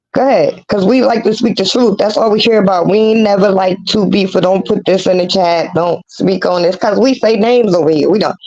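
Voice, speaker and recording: The speaker moves at a fairly quick pace, keeping loudness very even with ordinary pitch variation. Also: woman, medium pitch for a woman. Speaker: livestream commentary host. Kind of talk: casual livestream chat. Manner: animated.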